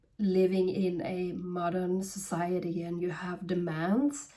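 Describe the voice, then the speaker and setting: Very slow speech from a woman with a non-native accent, medium in pitch, dark and mellow in tone. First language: not English. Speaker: spiritual medium. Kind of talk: channeled guidance reading. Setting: at home. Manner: halting.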